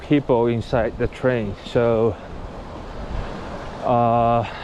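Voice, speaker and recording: A man with a Japanese accent speaks at a very slow pace over noticeable background noise. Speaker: cycling vlogger. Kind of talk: vlog narration while riding. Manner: halting.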